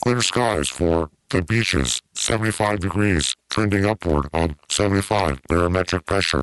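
A man's put-on character voice, very deep and low, with lively intonation at a fairly slow pace over a quiet background. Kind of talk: formal forecast delivery.

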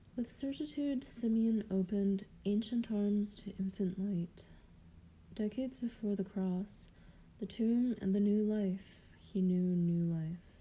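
A woman's somewhat breathy voice at medium pitch, with ordinary pitch variation and a fairly slow pace. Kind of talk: poetry reading, solemn devotional verse read aloud. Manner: slow, measured, contemplative.

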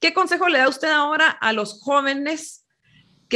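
A woman with a high, bright and sharp voice speaks in a raised, projected way with ordinary pitch variation. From Guatemala. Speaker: podcast host. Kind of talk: interview. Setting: video call.

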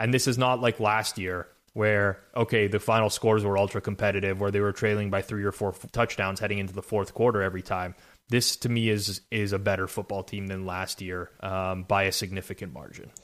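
Over a silent background in a very clean recording, a man with an unremarkable speaking voice talks fairly quickly at a fairly low pitch with fairly even intonation. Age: 30s. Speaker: sports betting podcast host. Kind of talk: casual sports betting analysis chat.

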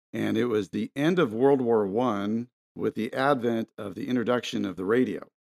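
Here a man uses an ordinary speaking voice at medium pitch and a fairly slow pace. The sound is dry and close, with no echo. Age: 50s. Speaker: documentary filmmaker. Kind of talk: interview.

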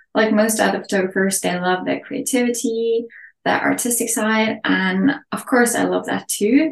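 A woman with a Norwegian accent, ordinary pitch variation throughout. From Norway. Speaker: photography educator and mentor. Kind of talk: interview.

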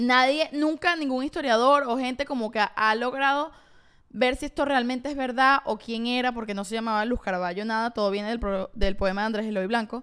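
This woman speaks at a fairly quick pace with a Venezuelan accent, her voice high with ordinary pitch variation. The recording is very clean, with a silent background. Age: 20s. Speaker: podcast co-host. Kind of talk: casual chat; reading aloud.

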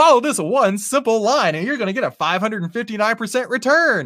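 The speaker uses a put-on character voice, pitched fairly high, at a moderate pace. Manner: hyped, salesy.

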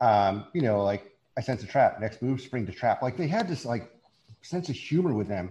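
Over a quiet background, a man speaks at a moderate pace and medium pitch with lively intonation. His tone is dark and mellow, and somewhat breathy. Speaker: social media creator. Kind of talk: casual chat.

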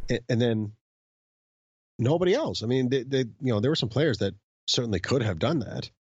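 A man's somewhat breathy, medium-pitched voice with ordinary pitch variation and long, frequent pauses. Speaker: podcast co-host, baseball commentator. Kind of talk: casual chat about baseball history. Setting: recorded remotely from home.

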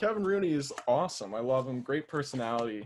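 An unremarkable speaking voice from a man with an American accent, fairly quick, with ordinary pitch variation. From Central New Jersey. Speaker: fan social media page runner. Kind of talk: casual chat.

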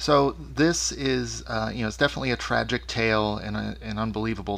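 A man's very deep, low voice carries vocal fry and very wide pitch swings. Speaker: podcast host. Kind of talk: interview. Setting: remote interview.

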